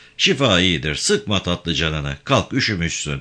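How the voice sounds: Putting on a character voice, a man with a low pitch and a bright, sharp tone speaks fairly slowly with big pitch swings.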